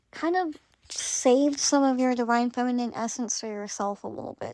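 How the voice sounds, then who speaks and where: In a very clean recording with a silent background, a woman speaks at a moderate pace with a high pitch and a dark, mellow tone. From Greek Romani household. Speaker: spiritual content creator. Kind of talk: late-night casual monologue. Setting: lying in bed at night.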